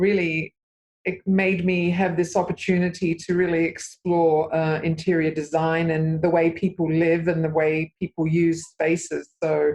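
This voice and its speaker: A woman with an Australian accent, fairly low pitch, fairly slow pace, monotone flat intonation and very even loudness. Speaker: interior designer. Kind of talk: interview. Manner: hesitant, many fillers.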